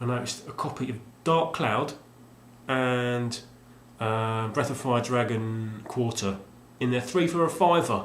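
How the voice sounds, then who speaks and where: Over noticeable background noise and audible room echo, a man talks at a fairly slow pace in a medium pitch, with long, frequent pauses. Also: ordinary pitch variation. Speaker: video game collector vlogger. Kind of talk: casual vlog monologue. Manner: mumbling; halting, many fillers.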